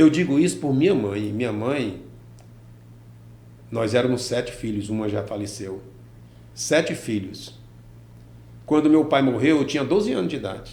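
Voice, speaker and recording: The voice is somewhat breathy and dark, mellow in tone, with lively intonation at a moderate pace. Long, frequent pauses break it up, and audible room echo surrounds it. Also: man, medium pitch for a man. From Brazil, Piauí (Teresina area), born in Ceará. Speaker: businessman and former teacher. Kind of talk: interview.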